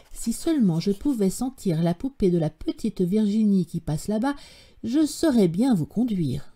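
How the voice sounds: Lively intonation in a natural reading voice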